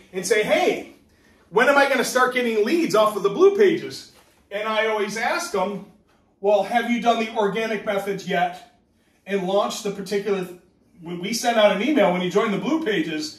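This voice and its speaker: A man talks at a moderate pace, and the room around him echoes audibly. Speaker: business trainer. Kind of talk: training talk. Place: home room. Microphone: camera far.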